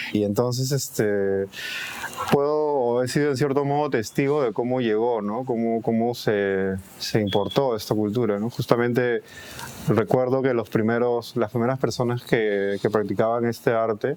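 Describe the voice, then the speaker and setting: A man with a Peruvian accent speaks at medium pitch and a fairly slow pace. His intonation is fairly even, and there is noticeable background noise. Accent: Peruvian Spanish (Lima). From Peru, Lima (Surquillo). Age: 30s. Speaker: graffiti artist. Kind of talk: interview. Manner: hesitant, repeating words.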